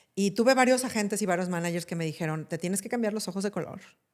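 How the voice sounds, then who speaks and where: A woman with ordinary pitch variation on a very clean recording with a silent background. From Mexico, Jalisco (Guadalajara, Talpa). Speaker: actress and film producer. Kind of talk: podcast interview.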